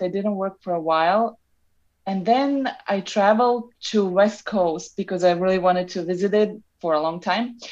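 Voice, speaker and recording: In a Serbian accent, a woman speaks at a moderate pace and medium pitch with ordinary pitch variation against a quiet background. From Serbia (Novi Sad). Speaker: traveler and photographer. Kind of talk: interview. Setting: remote call from Novi Sad.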